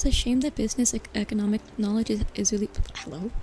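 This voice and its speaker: Fairly high-pitched woman at a fairly quick pace, with music in the background. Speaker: vtuber streamer. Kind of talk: casual chat with livestream audience. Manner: relaxed, conversational, hesitant with filler words.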